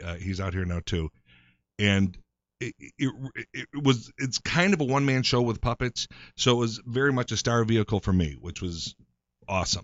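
A man speaks in a normal speaking voice with an American accent. His pitch is medium, his pace moderate and his intonation lively. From Chicago. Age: 50s. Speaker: actor. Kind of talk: casual chat.

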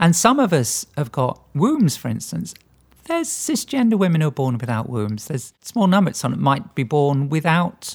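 A woman speaks with vocal fry and very wide pitch swings on a very clean recording with a silent background. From England, Lincolnshire. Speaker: priest. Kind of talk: interview.

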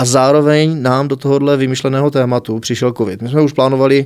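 Fairly quick talking from a man at a medium pitch. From Czech Republic, South Moravia (Znojmo). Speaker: music festival organizer and teacher. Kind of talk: interview. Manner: animated.

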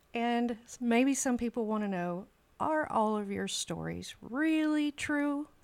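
Delivered at a very slow pace, the speech carries a lively intonation. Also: woman, high pitch for a woman. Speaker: guest interviewer. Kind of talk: casual interview.

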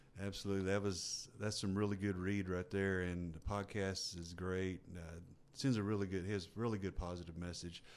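A man's very deep, low voice, flat and monotone, at a moderate pace. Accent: Texan. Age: 50s. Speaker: ultra runner and fitness enthusiast. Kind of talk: casual chat. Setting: studio.

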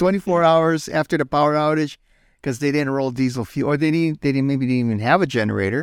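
On a very clean recording with a silent background, a man talks at a very fast pace in a dry, close sound with no echo, his pitch varying in an ordinary way. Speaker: podcast host. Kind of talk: casual chat.

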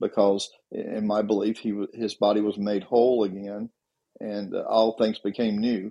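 Speaking at a moderate pace, a man with a Southern US accent keeps a fairly low voice in a flat monotone. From Tennessee. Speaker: retired policeman. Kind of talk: casual chat.

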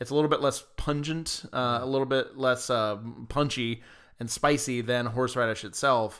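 A man speaks at a moderate pace with a medium pitch and fairly even intonation, in an unremarkable speaking voice. The recording is very clean, with a silent background. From US South, Georgia. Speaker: podcast co-host. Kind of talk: casual chat.

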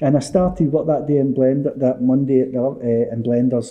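With a Glaswegian accent, a man speaks at a moderate pace, his medium pitch showing ordinary variation. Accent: Glaswegian Scottish. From Scotland, Easterhouse in Glasgow's East End. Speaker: author and former addict. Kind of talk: testimony.

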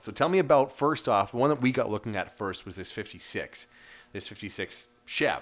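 Lively intonation marks a man's medium-pitched speech. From Saskatchewan, Canada. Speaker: car podcast host. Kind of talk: casual interview. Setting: in a garage.

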